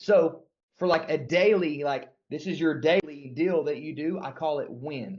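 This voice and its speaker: Fairly high pitch for a man, with ordinary pitch variation. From US South. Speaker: sales trainer. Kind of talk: sales training. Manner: animated.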